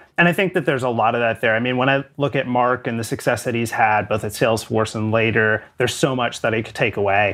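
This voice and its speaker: With music playing behind him, a man talks at a very fast pace at a medium pitch, with ordinary pitch variation and hardly any pauses. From Canada. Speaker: sales executive. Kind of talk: interview.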